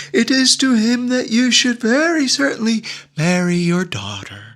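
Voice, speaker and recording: This man performs a put-on character voice, extremely high in pitch. His pitch swings very widely while his pace stays moderate. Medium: read story. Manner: stately, formal.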